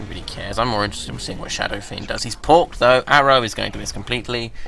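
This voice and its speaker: A man's very fast speech with big swings in loudness and noticeable background noise. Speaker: esports commentator. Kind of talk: live commentary. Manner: drowsy, yawning.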